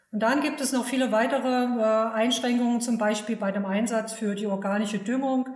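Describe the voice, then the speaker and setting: A woman's fairly high voice at a moderate pace, fairly even in intonation, with audible room echo and noticeable background noise. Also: very even loudness. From Saxony, eastern Germany. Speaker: agricultural fertilizer advisor. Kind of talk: expert interview.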